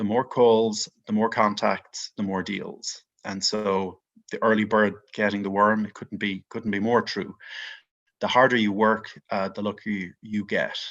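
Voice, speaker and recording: In an Irish accent, a man talks at a fairly slow pace in a fairly low pitch, his intonation monotone and flat against a quiet background. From Ireland, Dublin. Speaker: mortgage investment executive. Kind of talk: podcast interview.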